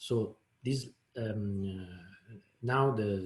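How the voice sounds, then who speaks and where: A man with an Italian accent talks in a fairly low, somewhat breathy voice with fairly even intonation. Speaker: software developer, proposal author. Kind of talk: technical presentation. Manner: halting, many fillers and repetitions.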